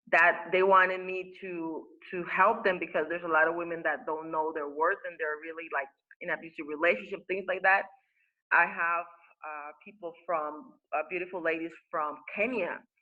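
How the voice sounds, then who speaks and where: In a Spanish accent, a woman speaks at a moderate pace with fairly even intonation. Her loudness swings widely. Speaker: spiritual teacher and life coach. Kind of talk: interview. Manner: halting, many fillers and repetitions.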